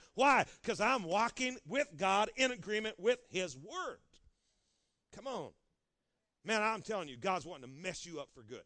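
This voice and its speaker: Using a raised, projected voice with a bright, sharp tone, a man speaks at a high pitch with very wide pitch swings, big swings in loudness and long, frequent pauses. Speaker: pastor. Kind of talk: sermon, high-energy charismatic preaching rallying the congregation. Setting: church. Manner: animated, punchy call-and-response exhortation; rapid, run-on delivery with repeated stumbling restarts.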